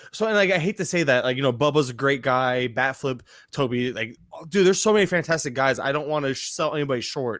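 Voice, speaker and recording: Talking at a very fast pace, a man has a fairly high pitch and an animated tone with ordinary pitch variation. The recording is very clean, with a silent background. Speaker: fantasy baseball podcaster. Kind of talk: casual chat.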